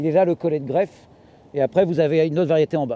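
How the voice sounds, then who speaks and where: A man's dark, mellow tone, dry with no echo. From Normandy, France. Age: 40s. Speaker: market gardener. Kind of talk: farm tour talk. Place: farm machine.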